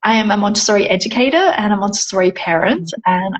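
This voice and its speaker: A woman with an Australian accent speaks at a moderate pace in a medium pitch, sounding somewhat breathy. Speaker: Montessori educator. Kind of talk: casual chat.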